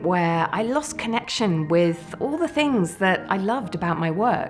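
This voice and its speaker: A woman speaks at a fairly slow pace with a warm tone over music in the background. Her pitch swings very widely. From British. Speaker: keynote speaker. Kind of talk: keynote speech. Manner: warm, entertaining; high-energy.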